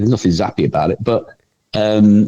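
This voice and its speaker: With an English accent, a man talks in a fairly low pitch with a dark, mellow tone and ordinary pitch variation. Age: 60s. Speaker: TV writer and performer. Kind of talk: casual interview chat. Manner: halting, repetitive.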